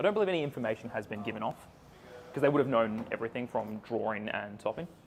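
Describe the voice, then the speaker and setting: A man with an Australian accent at a very fast pace, medium in pitch with ordinary variation, over noticeable background noise. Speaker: card game commentator. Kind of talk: live commentary. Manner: quieter; loud.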